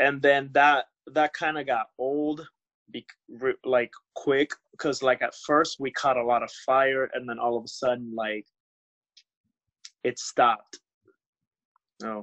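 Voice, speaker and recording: A man with a Spanish accent, medium pitch, fairly even intonation, and a fairly slow pace with long, frequent pauses. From United States. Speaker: pro wrestler. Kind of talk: casual interview.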